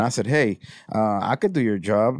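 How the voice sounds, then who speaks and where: Lively intonation from a man with an American accent and a fairly low pitch in a very clean recording with a silent background. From Houston, Texas. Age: 40s. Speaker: videographer and photographer. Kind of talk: casual interview chat.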